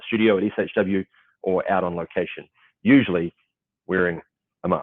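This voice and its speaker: A man with a New Zealand accent, fairly low in pitch, talking at a fairly quick pace with fairly even intonation. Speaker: event panel moderator. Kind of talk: panel moderation, casual. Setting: video call on location at client office. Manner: halting, many fillers.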